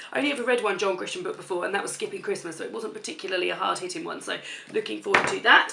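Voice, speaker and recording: A woman talks at a very fast pace with a British accent. Noticeable background noise can be heard. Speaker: book reviewer. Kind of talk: casual talk to camera.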